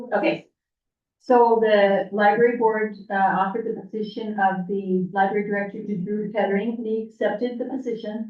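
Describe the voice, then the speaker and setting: At a moderate pace, a woman talks in a medium pitch with monotone, flat intonation. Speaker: city commissioner. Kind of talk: public meeting report. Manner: loud.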